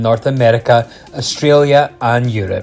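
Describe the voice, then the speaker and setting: A medium-pitched man's voice with music in the background. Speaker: retro gaming video host. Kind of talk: documentary-style narration on retro video game history.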